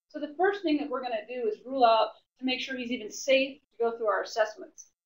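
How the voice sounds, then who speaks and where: A woman's loud, very fast talk, high in pitch, with ordinary pitch variation. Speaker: personal trainer instructor. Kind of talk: lecture.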